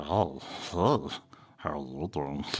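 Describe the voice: The speaker puts on a character voice. It is pitched very deep and low.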